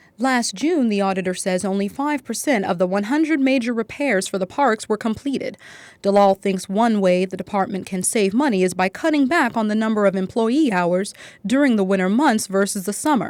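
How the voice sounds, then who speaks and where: A woman's lively intonation in a plain, everyday voice. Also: medium pitch for a woman, fairly quick pace, very clean recording, silent background. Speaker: news reporter. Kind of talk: TV news report.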